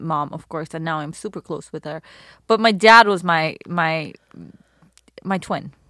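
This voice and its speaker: Fairly slow speech in a Persian accent, with ordinary pitch variation, long, frequent pauses and a very clean recording over a silent background. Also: woman, fairly low pitch for a woman. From Iran. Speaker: model and activist. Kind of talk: casual interview chat.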